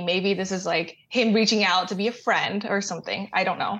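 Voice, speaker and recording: A woman with an American accent and a plain, everyday voice speaks at a fairly quick pace and medium pitch, with ordinary pitch variation. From Texas, Austin. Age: 20s. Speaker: caller seeking friendship advice. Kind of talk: casual chat.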